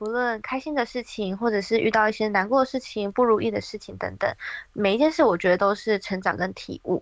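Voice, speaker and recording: A woman has a normal speaking voice, fairly high in pitch with ordinary variation. She talks at a fairly quick pace against a quiet background. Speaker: working holiday traveler. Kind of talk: interview.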